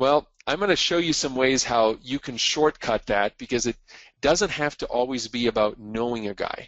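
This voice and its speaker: A man's plain, everyday voice with a Canadian accent, medium pitch, lively intonation and a moderate pace. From Quebec, Montreal. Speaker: marketing and media speaker. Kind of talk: webinar presentation. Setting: call. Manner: frequent fillers (uh, um).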